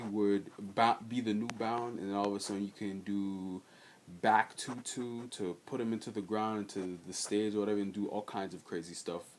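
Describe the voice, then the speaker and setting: A quiet man at a fairly slow pace. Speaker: gaming video creator. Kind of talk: casual vlog commentary. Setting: storage room at home. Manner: halting, many fillers.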